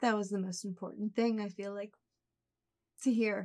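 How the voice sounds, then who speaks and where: A woman speaks with a dark, mellow tone. Her intonation is flat and monotone. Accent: American. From Philadelphia area. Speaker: reading recipient. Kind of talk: casual chat; testimony.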